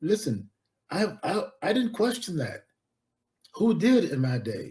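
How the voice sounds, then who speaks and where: With an American accent, a man speaks in a somewhat breathy voice with a dark, mellow tone and lively intonation. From Central Florida, US South. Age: 80s+. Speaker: historian and professor. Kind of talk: interview.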